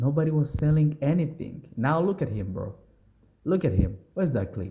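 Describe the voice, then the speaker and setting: Speaking at a moderate pace with a non-native accent, a man has a fairly high pitch, a dark, mellow tone and a somewhat breathy quality. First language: not English. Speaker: music commentary YouTuber. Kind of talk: casual reaction commentary. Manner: rambling, halting with restarts.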